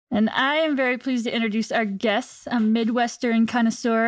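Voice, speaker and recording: Speaking with a normal speaking voice and an American accent, a woman has a fairly high pitch and fairly even intonation at a moderate pace. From Virginia, US. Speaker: podcast host, wildlife agency staff. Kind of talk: casual chat.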